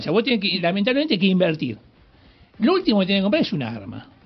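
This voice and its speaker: Speaking at a high pitch, this man lets his voice swing very widely up and down. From Greater Buenos Aires, Argentina. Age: 60s. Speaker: police hostage negotiator. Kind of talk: radio interview.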